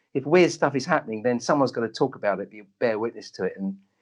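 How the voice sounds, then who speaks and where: A man with a London accent, talking at a very fast pace with very wide pitch swings against a quiet background. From North London, England. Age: 60s. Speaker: doctor and psychic medium. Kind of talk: interview conversation. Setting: radio show.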